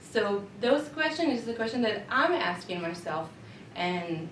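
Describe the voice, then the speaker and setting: A woman is speaking with audible room echo. Background noise is noticeable. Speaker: teacher. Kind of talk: reflective presentation. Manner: halting.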